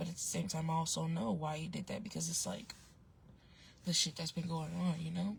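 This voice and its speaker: Speaking at a fairly quick pace, the voice is soft-spoken and somewhat breathy. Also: woman. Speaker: online advice vlogger. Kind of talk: casual storytelling vlog. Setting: outdoors, in a parked car with windows down. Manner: soft-spoken, talking low.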